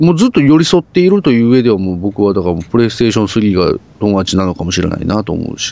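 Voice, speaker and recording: This man has an ordinary speaking voice, fairly low in pitch, with lively intonation at a fairly quick pace. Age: 30s. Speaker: podcast co-host. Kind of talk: casual chat.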